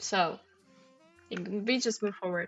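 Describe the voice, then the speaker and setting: A woman at a very slow pace. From former Soviet Union. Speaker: crossword streamer. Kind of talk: live-stream commentary while solving. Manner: casual, hesitant with fillers.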